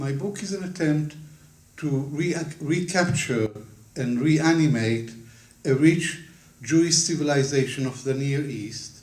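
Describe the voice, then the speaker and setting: With ordinary pitch variation and a somewhat breathy quality, the voice leaves long, frequent pauses amid audible room echo. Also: man, fairly high pitch for a man, fairly slow pace. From Israel (Ramat Gan), born in Baghdad; schooled in London from 15. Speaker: historian, author. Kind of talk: book launch talk. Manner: formal.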